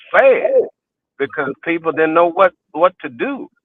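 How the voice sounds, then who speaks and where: This man talks at a moderate pace with an American accent. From Texas, Houston (Fifth Ward). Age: 60s. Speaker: interview guest, community elder. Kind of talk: life story interview. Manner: halting, many repetitions and fillers.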